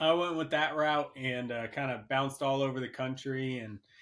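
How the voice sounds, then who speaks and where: A man with an American accent and a normal speaking voice, medium in pitch, fairly even in intonation and fairly quick in pace. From central Pennsylvania. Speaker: wildlife biologist. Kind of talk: casual podcast interview.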